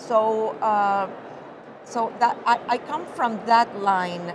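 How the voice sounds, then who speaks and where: Noticeable background noise sits under this recording. A woman talks at a fairly high pitch with fairly even intonation. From Venezuela. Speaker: mycologist. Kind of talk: interview answer.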